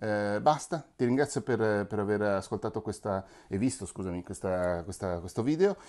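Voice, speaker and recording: A man with a fairly low pitch, ordinary pitch variation and a moderate pace against a quiet background. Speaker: podcast coach and video creator. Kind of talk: tutorial. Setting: home room with books, sofa and wardrobe. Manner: halting, many fillers and repetitions.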